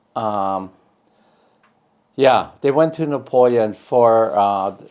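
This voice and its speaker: Pausing long and often, a man with an American accent speaks at medium pitch with ordinary pitch variation. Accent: Upper Midwest, German-Russian North Dakota. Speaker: family elder interviewee. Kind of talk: oral history interview.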